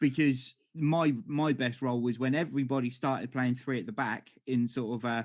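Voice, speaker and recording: A man speaks with an English accent. He hardly pauses at all. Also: medium pitch for a man, ordinary pitch variation, moderate pace. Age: 40s. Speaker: podcast host. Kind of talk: casual chat.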